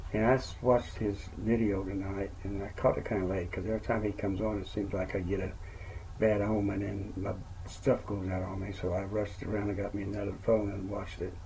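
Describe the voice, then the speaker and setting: A man talks at a fairly quick pace with a fairly low pitch and monotone, flat intonation. Audible room echo surrounds his voice. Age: 60s. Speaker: network marketer and retired truck driver. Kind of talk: casual vlog monologue. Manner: rambling, conversational.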